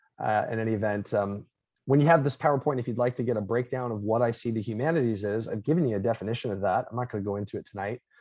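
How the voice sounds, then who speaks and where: This man talks at a very fast pace. He has a slight Long Island accent. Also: medium pitch for a man, ordinary pitch variation. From Florida. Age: 30s. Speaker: professor. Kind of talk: lecture.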